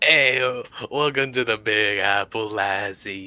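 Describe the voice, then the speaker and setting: A man does a put-on character voice in a Brooklyn accent, raspy and medium-pitched. He takes it at a fairly slow pace. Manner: playful, friendly greeting.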